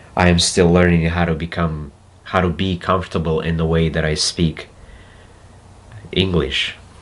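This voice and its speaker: A very deep, low male voice in a Russian accent, monotone and flat, with long, frequent pauses. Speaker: spiritual self-help speaker. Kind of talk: reflective monologue. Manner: halting; slow.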